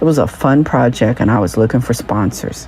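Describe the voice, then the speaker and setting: A woman at a moderate pace with ordinary pitch variation, amid noticeable background noise. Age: 60s. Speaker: podcast host and journalist. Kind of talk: scripted narration.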